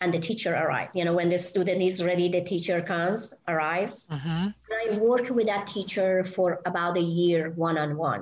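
A woman with a Persian accent speaks at a fairly quick pace with hardly any pauses. Her voice is fairly low, with very even loudness and fairly even intonation. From Iran. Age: 60s. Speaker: spiritual healer and hypnotherapist. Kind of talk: casual interview. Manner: halting, many fillers.

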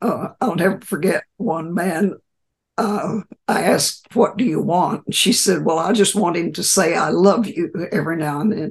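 Somewhat breathy, a woman talks in an American accent, her pitch varying in an ordinary way. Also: medium pitch for a woman, moderate pace. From West Texas. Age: 90s. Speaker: retired therapist and sustainability culture leader. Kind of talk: interview. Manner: warm, laughs often.

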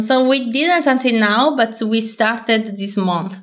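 In an Italian accent, a woman speaks with a fairly high pitch and ordinary pitch variation. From Italy. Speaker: computer science researcher. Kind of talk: interview.

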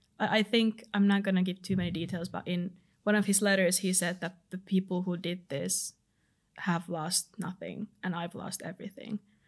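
Somewhat breathy and monotone, a woman talks at a moderate pace with flat intonation. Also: medium pitch for a woman. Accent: Finnish. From Finland. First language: Finnish. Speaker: law student volunteer. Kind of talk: interview.

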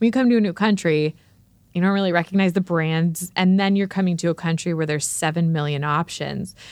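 Against a quiet background, a woman with a normal speaking voice and a fairly low pitch talks at a fairly quick pace with fairly even intonation. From abroad, moved to the US. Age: 20s. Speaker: podcast host and mother. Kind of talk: casual interview chat.

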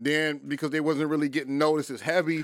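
Here a man talks at a fairly quick pace. His pitch is fairly high. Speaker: podcast host. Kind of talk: casual chat.

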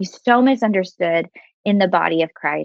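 A woman with an American accent has a normal speaking voice. She talks at a fairly quick pace with a medium pitch. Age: 30s. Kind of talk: faith podcast interview, testimony and teaching.

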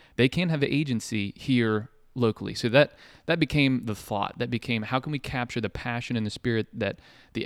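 A plain, everyday voice: a man with an American accent, medium pitch and fairly quick pace, on a very clean recording with a silent background and a dry, close sound with no echo. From Ohio, Marietta. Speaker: podcast host and entrepreneur. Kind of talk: casual chat.

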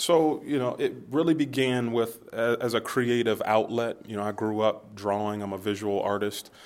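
With a normal speaking voice, a man talks at a moderate pace and medium pitch with ordinary pitch variation. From US Midwest, Youngstown, Ohio. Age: 30s. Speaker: entrepreneur, market founder. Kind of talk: casual interview.

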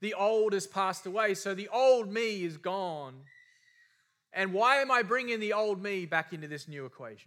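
With an Australian accent, a man speaks in a high pitch with a bright, sharp tone and big swings in loudness, on a very clean recording with a silent background. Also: ordinary pitch variation, moderate pace. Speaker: preacher. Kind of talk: sermon.

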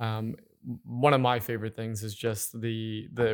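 This is a man talking. His intonation stays monotone and flat. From Nova Scotia. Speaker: winery general manager and co-host. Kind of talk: casual interview. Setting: recording in a former church.

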